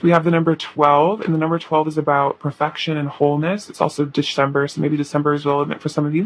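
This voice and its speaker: A woman's very deep, low voice at a fairly quick pace, flat and monotone, over noticeable background noise. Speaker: tarot reader. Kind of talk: tarot reading. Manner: casual, filler-heavy.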